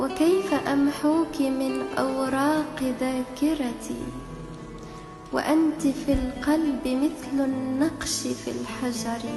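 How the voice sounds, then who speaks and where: A woman's high pitch and fairly even intonation at a very slow pace, music in the background. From Morocco. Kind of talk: poetry reading.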